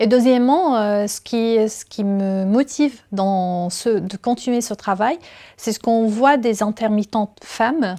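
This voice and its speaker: In a very clean recording with a silent background, a woman with a dark, mellow tone and a fairly high pitch speaks at a very slow pace, her pitch varying in an ordinary way. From Syria. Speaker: university technical secretary and stage manager. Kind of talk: interview testimony. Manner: halting, with frequent fillers.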